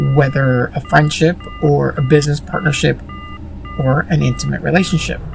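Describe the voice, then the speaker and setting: A woman talks over music playing in the background. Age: 30s. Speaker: vlogger. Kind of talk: casual monologue. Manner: kept quiet so a sleeping child doesn't hear.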